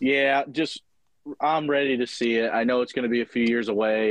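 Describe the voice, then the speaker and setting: A man talks in a normal speaking voice at medium pitch. He keeps a fairly quick pace and fairly even intonation. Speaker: guest picker, last week's winner. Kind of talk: casual sports podcast chat.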